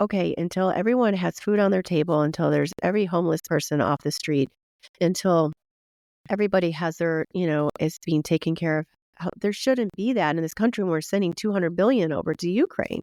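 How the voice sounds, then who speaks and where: Dry and close with no echo, a woman's voice has a fairly low pitch and dark, mellow tone, moving at a fairly quick pace with ordinary pitch variation. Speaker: podcast host. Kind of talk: interview podcast. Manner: animated.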